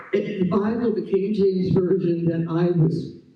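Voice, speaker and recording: The man's high-pitched voice moves along at a moderate pace. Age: 80s+. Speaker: longtime church member. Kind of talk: testimony read aloud. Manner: reading from prepared pages.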